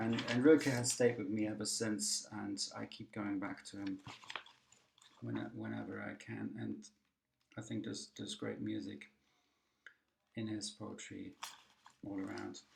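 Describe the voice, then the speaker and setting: With a German accent, a man speaks at a fairly slow pace with long, frequent pauses. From Germany. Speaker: poet. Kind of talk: recorded talk. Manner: hesitant, many fillers.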